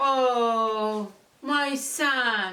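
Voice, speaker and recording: A woman speaks in a raised, projected voice with a high pitch and ordinary pitch variation. Audible room echo surrounds her. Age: 60s. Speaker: beauty and fashion vlogger. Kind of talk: casual vlog talk and product review. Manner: halting with many fillers.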